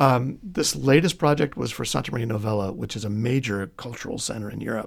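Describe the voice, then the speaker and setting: The man has an unremarkable speaking voice at medium pitch. He talks at a moderate pace with lively intonation. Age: 50s. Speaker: art history professor. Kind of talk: interview.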